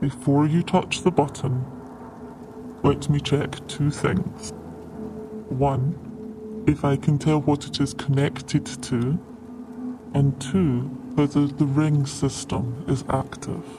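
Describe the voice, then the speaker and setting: With clear background noise, a man in a put-on character voice speaks at a fairly high pitch and a fairly slow pace, taking long, frequent pauses. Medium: actual play. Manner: formal, careful.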